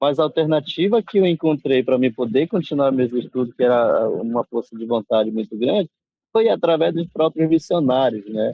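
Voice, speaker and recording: With lively intonation and a moderate pace, a man speaks in a fairly high pitch. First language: Nheengatu (Baniwa heritage) (speaking Portuguese). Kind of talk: interview. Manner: halting, many fillers.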